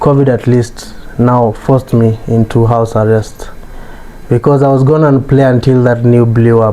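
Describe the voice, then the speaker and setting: Against noticeable background noise, a man talks in a monotone, flat intonation at very even loudness. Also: medium pitch for a man, moderate pace. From Kenya, Nanyuki. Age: 20s. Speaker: fashion designer and entrepreneur. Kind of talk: interview conversation. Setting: design studio.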